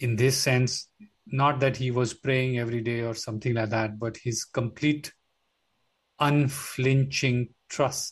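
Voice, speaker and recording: A man speaks in a medium pitch that is somewhat breathy. His intonation is monotone and flat. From India, Mumbai. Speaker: yoga teacher. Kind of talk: interview conversation.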